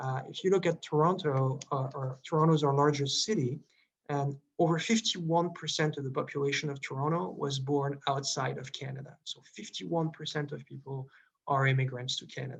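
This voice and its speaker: Here a man speaks in a Quebec accent. His pace is fairly quick. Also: fairly high pitch for a man, ordinary pitch variation. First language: French. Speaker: diplomat. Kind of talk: presentation Q&A. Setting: video call.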